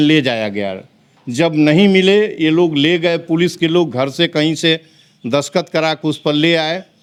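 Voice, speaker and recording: Over a quiet background, a man with a fairly high voice speaks with lively intonation. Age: 60s. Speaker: activist. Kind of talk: interview. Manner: angry, animated.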